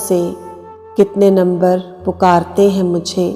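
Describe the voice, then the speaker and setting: Her pitch is medium. Behind this woman's voice, music can be heard. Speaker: poetry reciter. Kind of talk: poetry reading.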